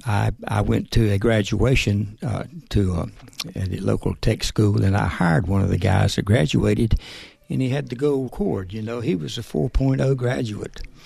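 Over noticeable background noise, a man talks at a moderate pace. His fairly low voice has lively intonation. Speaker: part-time auto shop manager. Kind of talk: casual interview. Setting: studio.

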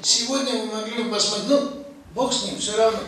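With strong room echo and light background noise, a man talks at a moderate pace in an extremely high pitch. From Georgia. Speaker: geologist and poet. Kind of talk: speech at film screening. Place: hall.

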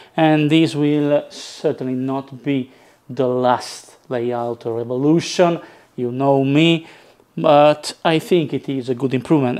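A man talks at a slow pace, his tone slightly mellow.

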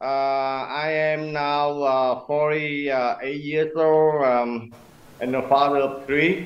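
This man talks at a very slow pace with fairly even intonation. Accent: Vietnamese. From Vietnam, Quang Tri province. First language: Vietnamese. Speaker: community manager; remote guest. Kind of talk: panel discussion. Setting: remote video link from Vietnam. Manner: halting. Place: home room. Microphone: video call.

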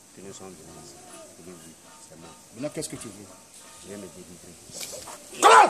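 A man's fairly quick speech broken by long, frequent pauses, with clear music in the background. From Côte d'Ivoire. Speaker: confessing deliverance subject. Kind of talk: testimony. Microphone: phone near.

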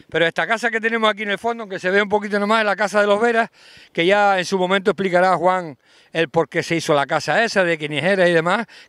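This man talks at a very fast pace with ordinary pitch variation. The background is quiet, and the sound is dry with no echo. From Canary Islands. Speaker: local TV host, interviewer. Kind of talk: casual interview. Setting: outdoors by the sea. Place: open country. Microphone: handheld.

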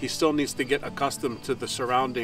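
A man's voice sounds dry, with no echo, over light background noise. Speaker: farm vlogger. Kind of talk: casual vlog chat. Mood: calm, caring. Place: open country. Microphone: camera far.

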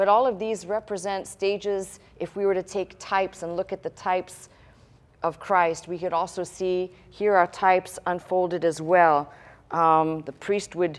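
A woman is speaking at a moderate pace. Her intonation stays fairly even. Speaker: pastor teaching. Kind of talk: sermon. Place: church.

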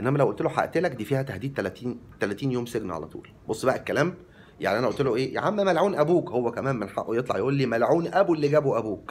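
Talking at a very fast pace, a man sounds animated, with lively intonation. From Egypt. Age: 40s. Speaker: vlogger. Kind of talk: monologue to camera. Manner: talkative. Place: home room. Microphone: phone near.

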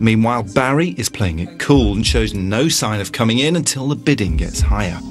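Music plays in the background as a man talks at a fairly quick pace with hardly any pauses. His pitch is fairly low, with very wide swings. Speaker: TV show narrator. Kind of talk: television property-show narration.

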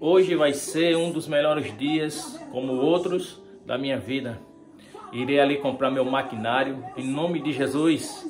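Over background music, a man with a fairly high pitch speaks fairly slowly in an upbeat tone with ordinary pitch variation and a northeastern Brazilian accent. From Natal, Rio Grande do Norte, Brazil. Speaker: barber. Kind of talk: casual vlog talk to camera. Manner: upbeat, informal.

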